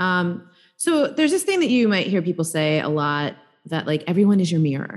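A woman with a New York accent and a fairly low pitch, lively intonation at a fairly quick pace, over a quiet background. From New York, Staten Island. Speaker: embodiment coach and healer. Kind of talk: casual interview conversation.

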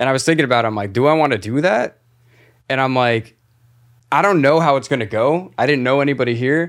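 A very fast-talking man with a Floridian accent, medium pitch and ordinary pitch variation, on a very clean recording with a silent background. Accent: Floridian US accent, non-New York. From Florida. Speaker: podcast host and band musician. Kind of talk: casual chat. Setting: studio.

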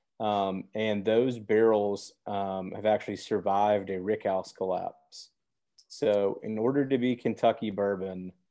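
Using a fairly slow pace and monotone, flat intonation, a man with an American accent speaks at a fairly low pitch. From Memphis, Tennessee (US South). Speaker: distillery executive and attorney. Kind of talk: podcast interview.

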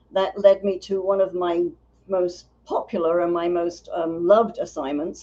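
A woman's medium-pitched voice in a dark, mellow tone, with a slight London accent. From North London, England. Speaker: business founder and writer. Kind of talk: casual interview chat.

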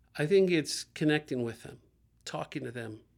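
In a very clean recording with a silent background, a man with an American accent talks at a moderate pace with a fairly high pitch. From US Midwest, Dayton, Ohio. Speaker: community center director. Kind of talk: interview about faith and community.

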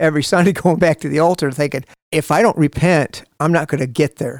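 In an American accent, a man talks at a fairly quick pace with fairly even intonation. His pitch is fairly high, the sound is dry and close with no echo, and the recording is very clean with a silent background. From US Midwest, Toledo, Ohio. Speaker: taekwondo instructor. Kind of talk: testimony. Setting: studio. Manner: halting.

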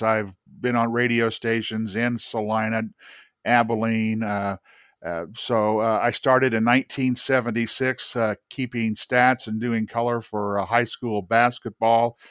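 The delivery is fairly slow, with monotone, flat intonation. The sound is dry and close, with no echo. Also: man. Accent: Midwestern US. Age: 60s. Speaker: retired radio broadcaster. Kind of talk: casual interview.

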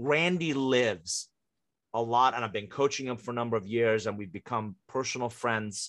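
A man at medium pitch with a slight non-native accent, moderate pace and ordinary pitch variation, over a quiet background. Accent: hardly any foreign. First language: not English. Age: 50s. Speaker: author and business coach. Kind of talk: interview.

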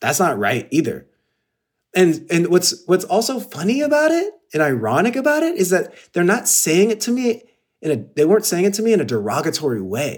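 The talking is fairly quick. Pitch rises and falls across a very wide range. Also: man, high pitch for a man. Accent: Californian. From Los Angeles, San Gabriel Valley. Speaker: actor and content creator. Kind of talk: interview. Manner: casual, filler-heavy.

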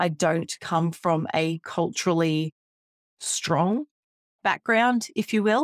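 A woman with an Australian accent speaks very slowly at a fairly low pitch, her loudness very even and her long pauses frequent, in a very clean recording with a silent background. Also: ordinary pitch variation, dry, close sound with no echo. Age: 30s. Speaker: podcast host, teacher. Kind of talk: solo reflective podcast monologue.

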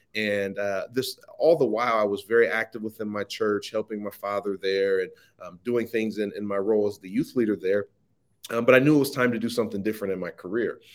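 In a Midwestern American accent, a man talks at a fairly quick pace with a fairly low pitch and fairly even intonation. The recording is very clean, with a silent background. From US Midwest, Ohio. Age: young. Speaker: social media marketing entrepreneur. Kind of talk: interview conversation.

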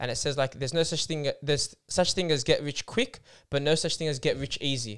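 A man's fairly high voice in an Australian accent, at a fairly quick pace with ordinary pitch variation, in a very clean recording with a silent background. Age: 20s. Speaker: podcast co-host. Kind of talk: casual chat.

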